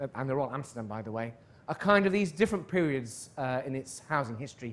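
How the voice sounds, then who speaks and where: This man has a British accent and a fairly high pitch. He talks at a fairly quick pace with lively intonation. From northern England (Darlington). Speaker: professor. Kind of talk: lecture.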